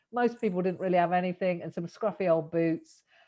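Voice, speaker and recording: Speaking very fast, a woman talks with a British accent. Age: 50s. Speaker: podcast host. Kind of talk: casual interview chat.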